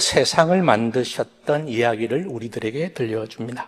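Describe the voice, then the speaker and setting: A man speaks with a Busan accent at a fairly slow pace. His intonation is lively. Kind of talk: sermon. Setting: stage with audience. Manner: soft-spoken.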